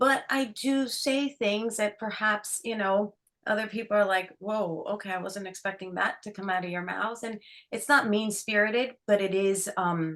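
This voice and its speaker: Bright and sharp in tone, a woman speaks at medium pitch with ordinary pitch variation. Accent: American. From New York, Dominican family. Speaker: author and actor. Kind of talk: interview chat. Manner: bubbly, animated.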